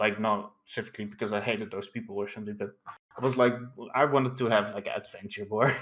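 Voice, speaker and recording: A man's fairly low voice with a non-native accent and monotone, flat intonation. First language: not English. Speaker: online political streamer. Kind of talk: casual interview chat.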